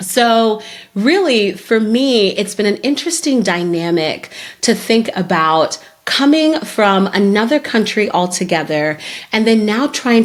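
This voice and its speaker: A woman with a Zimbabwean accent against noticeable background noise. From Zimbabwe, Harare. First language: Shona. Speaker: podcast host, career development strategist. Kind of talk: solo podcast talk.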